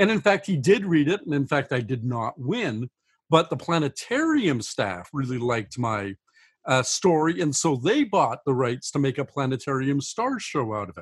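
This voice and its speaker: A man speaks at a moderate pace in a fairly high pitch. His voice is somewhat breathy, with very wide pitch swings. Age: 60s. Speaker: science fiction author. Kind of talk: interview.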